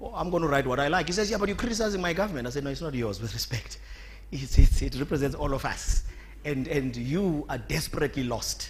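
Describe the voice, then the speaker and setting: A man speaks at a very fast pace amid audible room echo. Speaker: conference speaker, productivity body chairman. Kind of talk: conference speech.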